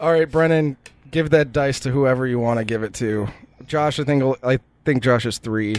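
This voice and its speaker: A man speaks at a medium pitch and a moderate pace with ordinary pitch variation. It is a normal speaking voice. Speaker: podcast co-host and game runner. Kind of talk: casual comedic chat.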